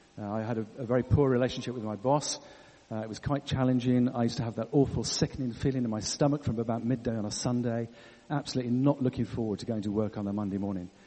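Speaking very fast, a man with an English accent has a medium pitch. His intonation stays fairly even. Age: 60s. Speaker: church leader. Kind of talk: sermon.

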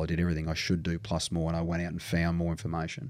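With an Australian accent, a man speaks in a very deep, low pitch with a dark, mellow tone. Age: 40s. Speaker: strength and conditioning coach. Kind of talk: casual chat.

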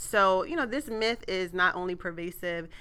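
A woman with a fairly low pitch speaks at a fairly quick pace in an animated tone that is bright and sharp. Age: 30s. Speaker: podcast host and author. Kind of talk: casual podcast chat.

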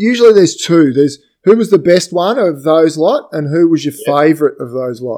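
Fairly high-pitched for a man, this speaker with an Australian accent has a dark, mellow tone, talks fairly quickly with lively intonation, and swings widely in loudness. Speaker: podcast host. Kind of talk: casual chat. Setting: video call.

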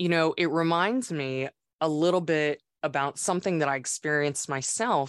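A woman with a normal speaking voice talks at a moderate pace in a fairly low pitch. The sound is dry and close with no echo, over a quiet background. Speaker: podcast host. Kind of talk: podcast interview.

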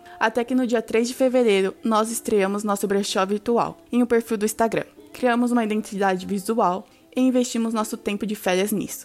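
A woman talks in an ordinary speaking voice at a fairly high pitch and a moderate pace. Her loudness stays very even and her intonation fairly even. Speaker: university student. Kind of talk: scripted sponsor read.

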